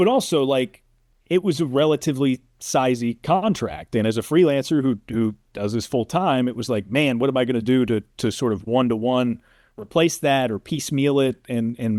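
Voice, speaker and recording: At a moderate pace, a man speaks in a plain, everyday voice with medium pitch and ordinary pitch variation, on a very clean recording with a silent background and a dry, close sound with no echo. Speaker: sportscaster, play-by-play announcer. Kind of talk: casual interview answer, telling career story.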